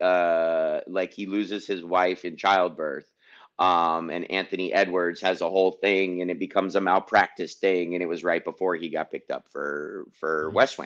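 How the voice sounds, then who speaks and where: A man's very deep, low voice in a flat monotone at a moderate pace, over a quiet background. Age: 40s. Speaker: activist; podcast host. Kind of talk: casual chat. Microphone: studio mic.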